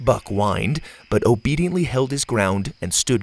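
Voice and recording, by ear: Intonation rises and falls in a lively way. The reading aloud is done in a natural voice.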